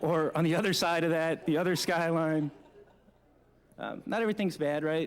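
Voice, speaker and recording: With an American accent, a man speaks at a high pitch and leaves long, frequent pauses. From New Jersey. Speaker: forensic trace evidence examiner. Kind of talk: conference presentation. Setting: conference room with audience. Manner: casual, joking.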